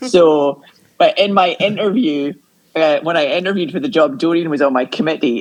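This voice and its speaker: A woman speaks with an American accent at a fairly quick pace. Her pitch is very deep and low, with ordinary pitch variation. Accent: Scottish, flattened with a little American. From Scotland. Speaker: arts educator, podcast guest. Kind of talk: casual chat. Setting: video call.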